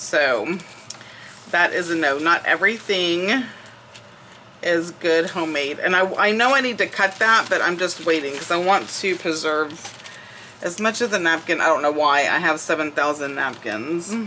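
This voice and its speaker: A woman with a Southern US accent, fairly low pitch, lively intonation and a moderate pace, over noticeable background noise. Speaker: crafting YouTuber. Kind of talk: casual crafting tutorial chat.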